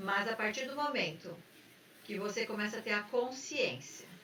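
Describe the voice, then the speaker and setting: A woman speaks with lively intonation. Noticeable background noise can be heard. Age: 60s. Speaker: therapist and podcast host. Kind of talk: casual talk show conversation.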